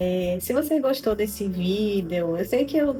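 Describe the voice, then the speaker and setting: The pace here is fairly slow. The speaker is a woman. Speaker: YouTuber, fashion and culture commentator. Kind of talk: casual monologue to camera. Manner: halting, hesitant.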